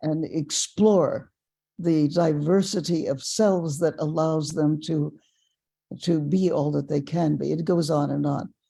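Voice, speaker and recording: Her very deep, low pitch and dark, mellow tone come through as the woman speaks at a fairly slow pace with fairly even intonation. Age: 80s+. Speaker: personal development teacher and author. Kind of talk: casual chat. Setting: webinar.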